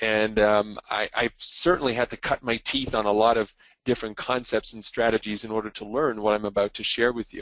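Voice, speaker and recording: An ordinary speaking voice, this man's medium pitch and fairly even intonation come with a Canadian accent, a fairly quick pace and hardly any pauses. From Quebec, Montreal. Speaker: marketing and media speaker. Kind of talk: webinar presentation. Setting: call. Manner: frequent fillers (uh, um).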